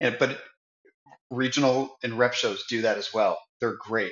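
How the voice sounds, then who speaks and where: A man speaks in an ordinary speaking voice at a moderate pace, with medium pitch and fairly even intonation. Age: 50s. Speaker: trade show director. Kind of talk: interview.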